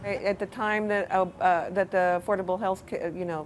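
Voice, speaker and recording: A woman with an American accent talks at a moderate pace and a medium pitch. Noticeable background noise runs underneath. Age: 60s. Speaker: uninsured member of the public. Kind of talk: testimony.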